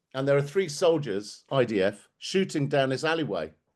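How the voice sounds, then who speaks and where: A man speaks at a moderate pace with lively intonation. His pitch is fairly high, and the background is quiet. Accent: southern English. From England, Bromley (south-east London). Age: 60s. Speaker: activist speaker. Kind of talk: talk to an audience. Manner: animated.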